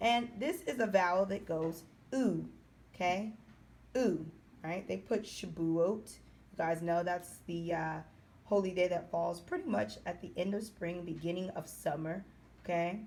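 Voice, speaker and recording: Her fairly low voice carries vocal fry as this woman speaks with long, frequent pauses. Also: ordinary pitch variation, fairly slow pace. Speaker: Hebrew language teacher. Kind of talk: tutorial. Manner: slow.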